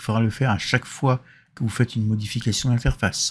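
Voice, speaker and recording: On a very clean recording with a silent background, a man at medium pitch sounds somewhat breathy, with fairly even intonation. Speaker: software tutorial maker. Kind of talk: tutorial. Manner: casual, with hesitations.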